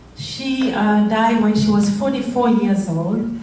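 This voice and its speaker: In a French accent, a woman speaks at a fairly slow pace and a fairly high pitch with fairly even intonation. Audible room echo and noticeable background noise are present. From Rwanda. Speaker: charity founder. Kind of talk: speech. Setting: stage with audience. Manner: halting.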